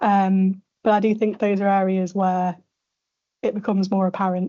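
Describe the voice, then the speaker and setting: A woman in a Yorkshire accent, moderate pace, very even loudness, monotone and flat intonation. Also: medium pitch for a woman. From northern England, Sheffield. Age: late 20s. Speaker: radiology registrar. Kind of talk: conference panel talk.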